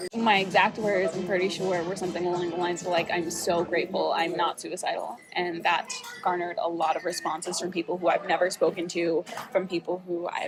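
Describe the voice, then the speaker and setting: A woman with an American accent talks at a fairly quick pace in a fairly low pitch, with noticeable background noise behind her. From New York City. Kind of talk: casual talk to camera. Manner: shaky at times.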